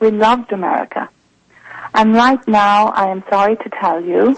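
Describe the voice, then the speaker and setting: A woman with an Irish accent, medium in pitch, at a fairly slow pace. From Ireland. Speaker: journalist and author. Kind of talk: radio interview.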